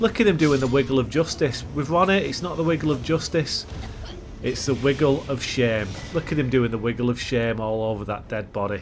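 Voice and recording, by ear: Over noticeable background noise, a man talks at a fairly quick pace with a medium pitch and lively intonation.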